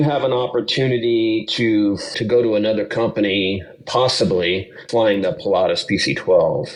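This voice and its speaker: A man with an American accent speaks at a moderate pace with hardly any pauses. His pitch is medium with ordinary variation, and noticeable background noise is present. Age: 50s. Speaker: retired sheriff's deputy turned cargo pilot. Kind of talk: podcast interview. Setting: hotel room, remote call.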